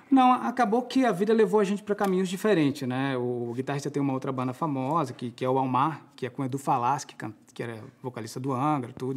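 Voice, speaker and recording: A man talks at a very fast pace in a fairly high pitch, with lively intonation. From Florianópolis, southern Brazil; Santa Catarina, Brazil. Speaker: musical theatre actor and singer; musical theatre actor. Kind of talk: TV interview. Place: studio.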